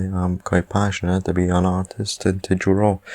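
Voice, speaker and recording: A quiet man's voice, very deep and low in pitch, monotone and flat, at a moderate pace. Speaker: beginner artist, YouTuber. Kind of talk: casual art showcase narration.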